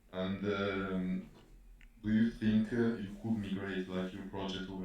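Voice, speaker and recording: In a Central European accent, a man speaks very deep and low with a dark, mellow tone and flat, monotone delivery, with audible echo in the room. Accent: mid-European. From Italy. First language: Italian. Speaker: audience member. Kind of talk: Q&A question. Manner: halting.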